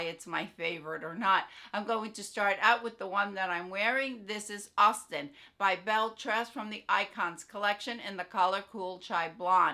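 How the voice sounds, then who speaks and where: With a bright, sharp tone, a woman speaks in fairly even intonation while her loudness swings widely. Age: 60s. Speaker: beauty and wig content creator. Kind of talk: casual product favorites video. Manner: casual, with fillers and self-corrections.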